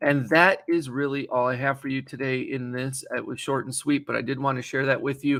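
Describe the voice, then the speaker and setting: With a bright, sharp tone and monotone, flat intonation, a man speaks on a very clean recording with a silent background. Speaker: digital marketing consultant and show host. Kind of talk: tutorial. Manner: fast.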